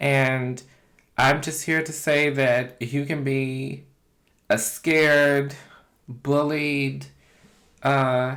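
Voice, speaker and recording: With an American accent, a woman speaks at a very deep, low pitch in a monotone, flat way. Her pace is very slow, with long, frequent pauses, and audible room echo surrounds her. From US South, Kentucky. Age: 40s. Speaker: mukbang YouTuber. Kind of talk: casual vlog talk to camera while eating.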